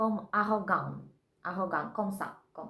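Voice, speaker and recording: A woman is speaking. Room echo can be heard. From Russia. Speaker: vlogger learning French. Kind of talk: casual vlog. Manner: halting, many hesitations; slow.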